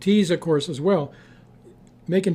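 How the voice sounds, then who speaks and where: A man speaks at a moderate pace with a fairly high pitch. His tone is dark and mellow, with ordinary pitch variation. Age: 70s. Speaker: herbalist. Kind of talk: interview. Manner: halting.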